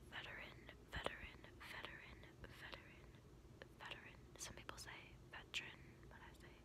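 Through loud background noise, a woman whispers softly at a fairly quick pace. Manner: soft ASMR whisper, close to mic. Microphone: phone near.

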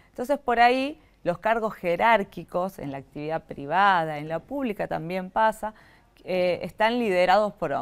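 A woman with a medium-pitched voice speaks at a moderate pace, her intonation lively and her loudness swinging widely. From Argentina, Catamarca; Argentina. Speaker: government tourism official; guest. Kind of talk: interview. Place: studio.

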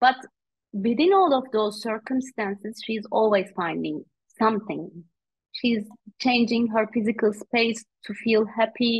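A woman speaks at a fairly slow pace with a Turkish accent, her fairly high voice somewhat breathy and ordinary in pitch variation. She leaves long, frequent pauses against a quiet background. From Turkey. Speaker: author and coach; guest. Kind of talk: interview; interview answer. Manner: hesitant, frequent fillers. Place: home room. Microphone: video call.

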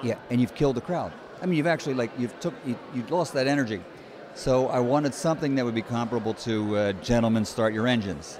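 With an American accent and ordinary pitch variation, a man talks at a very fast pace in a dry sound with no echo, over noticeable background noise. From United States. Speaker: ring announcer. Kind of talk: interview answer. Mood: friendly, animated storytelling. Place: hall. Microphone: handheld.

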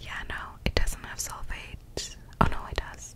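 A woman's whisper at a very slow pace, over noticeable background noise. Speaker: ASMR creator. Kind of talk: ASMR whisper ramble. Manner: whispered.

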